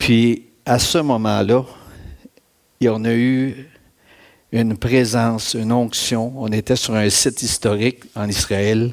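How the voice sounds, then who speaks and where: A man in a Quebec accent speaks at a very slow pace, with long, frequent pauses and monotone, flat intonation. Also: medium pitch for a man. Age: 60s. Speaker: church speaker giving testimony. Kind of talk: testimony.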